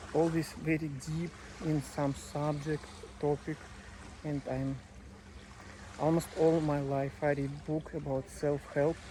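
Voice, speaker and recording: A non-native accent at a very slow pace, with long, frequent pauses. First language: not English. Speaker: English learner vlogger. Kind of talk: casual monologue. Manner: halting, many fillers.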